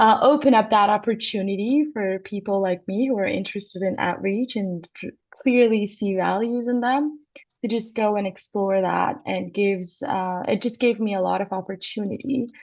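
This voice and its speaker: A woman with an Iranian accent, medium pitch, and a moderate pace. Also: ordinary pitch variation. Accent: Iranian (Persian). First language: Persian. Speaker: astronomy PhD student and co-host. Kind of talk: live broadcast conversation.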